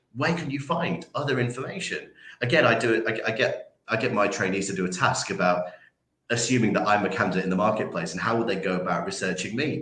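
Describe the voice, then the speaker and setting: Someone with a Yorkshire accent talks at a very fast pace with lively intonation, and audible room echo surrounds the voice. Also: man, medium pitch for a man. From Yorkshire, northern England. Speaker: recruitment trainer. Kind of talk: interview. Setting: livestream. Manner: many fillers and repetitions.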